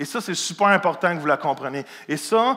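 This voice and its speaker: Speaking with a Quebec accent, a man uses an animated tone that is bright and sharp, pitched high. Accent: Québécois French. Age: 40s. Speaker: pastor. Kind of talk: sermon.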